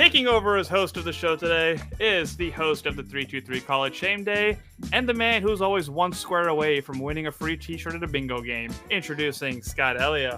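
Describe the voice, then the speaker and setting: A man's lively intonation over background music. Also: fairly quick pace. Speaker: podcast co-host.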